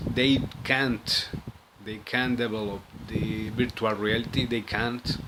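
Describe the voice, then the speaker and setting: Against noticeable background noise, a man speaks at a very slow pace with monotone, flat intonation. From Spain. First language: Spanish. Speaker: conspiracy video monologist. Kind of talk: casual monologue to camera. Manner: halting, many fillers and repetitions.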